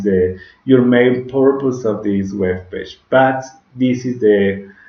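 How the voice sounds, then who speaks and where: A man speaks with a Spanish accent and ordinary pitch variation. Room echo is audible. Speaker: digital marketing instructor. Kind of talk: tutorial. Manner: halting, with frequent self-corrections.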